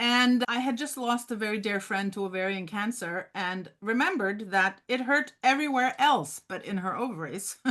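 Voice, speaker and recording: Bright and sharp, a woman's fairly high voice with a Norwegian accent has lively intonation. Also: moderate pace. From Norway, Oslo. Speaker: memoir author. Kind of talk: interview.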